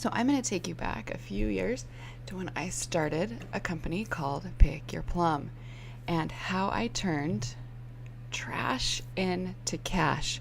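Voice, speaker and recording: Soft-spoken and at a very slow pace, a woman talks amid audible room echo. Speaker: online business coach. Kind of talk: tutorial. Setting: home, early morning with kids asleep. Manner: animated.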